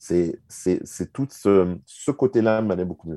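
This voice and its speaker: A dark, mellow voice comes through with a dry, close sound, no echo and a quiet background. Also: man. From Switzerland and Canada. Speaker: marketing consultant. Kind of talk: casual interview.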